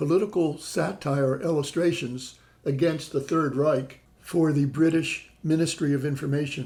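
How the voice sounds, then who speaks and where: A somewhat breathy man's voice, fairly high in pitch, dark and mellow in tone, with ordinary pitch variation. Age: 60s. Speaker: travel vlogger. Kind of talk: travelogue narration.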